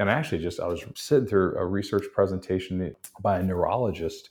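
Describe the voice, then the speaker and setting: A man with a very deep, low pitch at a moderate pace against a quiet background. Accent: American. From Texas. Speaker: marketing keynote speaker and author. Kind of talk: interview.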